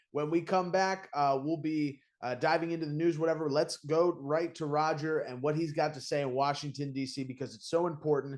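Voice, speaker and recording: With an enthusiastic tone, a man talks at a moderate pace in a fairly high pitch. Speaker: podcast co-host. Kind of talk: political talk show host intro. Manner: casual, enthusiastic.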